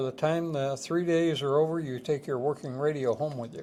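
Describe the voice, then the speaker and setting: This man talks at a moderate pace, his pitch fairly high for a man and his tone dark and mellow. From northern New York. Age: 70s. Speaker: museum curator. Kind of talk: casual interview chat.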